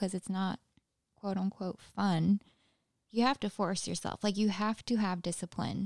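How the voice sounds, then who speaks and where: Flat and monotone, a medium-pitched woman speaks in a dry, close sound with no echo on a very clean recording with a silent background. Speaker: podcast co-host, police academy recruit. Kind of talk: casual chat.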